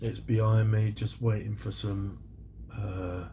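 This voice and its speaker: A very slow delivery with a British accent. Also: man. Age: 60s. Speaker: scale model builder YouTuber. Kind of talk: casual vlog talk. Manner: chatty, rambling with fillers.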